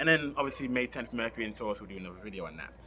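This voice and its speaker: A man speaks with lively intonation. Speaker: astrologer. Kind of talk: astrology forecast talk. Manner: fast.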